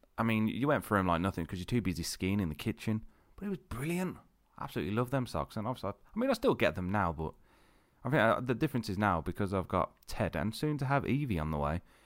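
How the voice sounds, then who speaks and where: Very fast, very wide-ranging speech from a man with a fairly low voice and a British accent, on a very clean recording with a silent background. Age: 30s. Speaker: podcast host. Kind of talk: casual monologue. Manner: rambling, hesitant with fillers.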